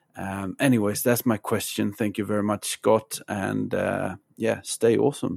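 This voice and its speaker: Speaking with a Swedish accent, a man keeps a fairly slow pace. The sound is dry and close, without echo. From Sweden. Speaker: listener asking a question. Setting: recorded voice message.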